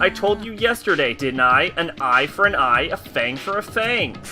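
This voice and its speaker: Clear music plays behind a put-on character voice at a middle pitch. The pitch swings very widely at a moderate pace. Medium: game stream. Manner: playful, mocking, taunting.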